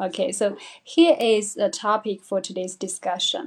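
In a Chinese accent, a woman speaks at a fairly slow pace and a fairly high pitch. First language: Mandarin Chinese. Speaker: English teacher hosting live stream. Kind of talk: live stream talk. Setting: live stream. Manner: hesitant, many fillers.

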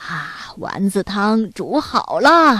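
Using a put-on character voice, a woman speaks slowly at medium pitch with big pitch swings, a bright, sharp tone, and a slightly husky edge.

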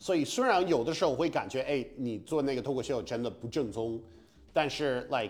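A man with an English accent speaks at a fairly quick pace, using a medium pitch and ordinary pitch variation. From US Northeast, Massachusetts. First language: English (speaking Chinese). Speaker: stand-up comedian. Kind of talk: casual chat. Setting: apartment room. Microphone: slight room echo.

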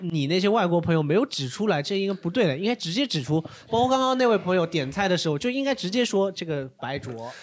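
A high-pitched man at a very fast pace, with very wide pitch swings and hardly any pauses. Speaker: stand-up comedian and author. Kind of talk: casual chat. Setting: stage with audience.

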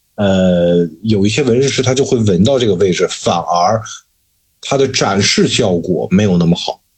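A man with a somewhat breathy, fairly low-pitched voice talks at a moderate pace. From Shanxi, China. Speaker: tattoo artist. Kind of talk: casual chat.

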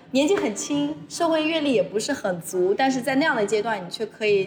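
A woman at a fairly quick pace with very wide pitch swings, amid noticeable background noise. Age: 20s. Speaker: former journalist, now college administrator. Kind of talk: casual interview chat.

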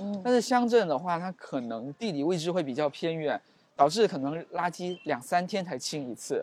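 On a very clean recording with a silent background, a man speaks at a high pitch and a moderate pace with lively intonation. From Xiamen, Fujian, China. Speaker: PhD student, former deputy town head. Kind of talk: casual interview chat. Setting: outdoors, walking on a university campus.

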